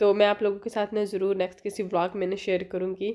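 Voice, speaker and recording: A woman is speaking. Her pace is moderate. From Pakistan. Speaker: family vlogger. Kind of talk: vlog and cooking tutorial. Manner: casual, chatty with fillers.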